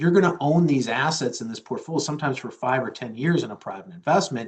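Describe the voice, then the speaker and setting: Lively intonation from a man with a somewhat breathy voice. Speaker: chief investment officer. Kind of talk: interview answers.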